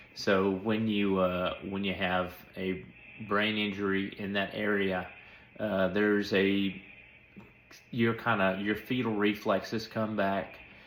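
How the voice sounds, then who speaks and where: A man's fairly low voice at a very slow pace, monotone and flat, with long, frequent pauses and audible room echo. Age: young. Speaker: stroke survivor. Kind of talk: casual update monologue. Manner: flat intonation; hesitant with many fillers.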